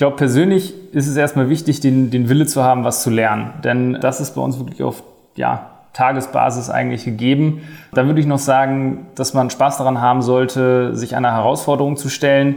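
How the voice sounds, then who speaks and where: A plain, everyday voice from a man at medium pitch, with fairly even intonation and a fairly quick pace. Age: 20s. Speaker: management consultant. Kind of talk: job interview podcast.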